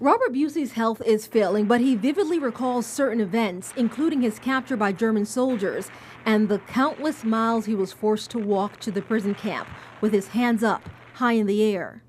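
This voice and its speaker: This woman's voice sits fairly high and moves at a moderate pace. Her pitch varies normally, and noticeable background noise runs underneath. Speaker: TV reporter. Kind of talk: TV news report narration.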